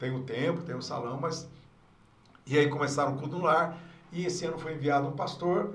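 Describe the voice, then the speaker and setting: Pausing long and often, a man with a fairly high pitch speaks at a moderate pace with fairly even intonation, amid audible room echo and noticeable background noise. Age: 60s. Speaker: pastor, church district superintendent. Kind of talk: casual interview.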